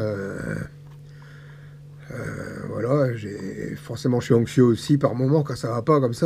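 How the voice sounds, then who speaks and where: Over noticeable background noise, a man speaks at a medium pitch and a moderate pace with fairly even intonation. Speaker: vlogger with cancer. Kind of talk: personal video diary. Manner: halting.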